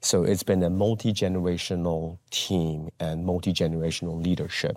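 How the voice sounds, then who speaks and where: In a very clean recording with a silent background, a man with a Taiwanese-American accent and a very deep, low pitch speaks at a moderate pace with fairly even intonation. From Taiwan, moved to US at twelve. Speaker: pastor. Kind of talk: interview.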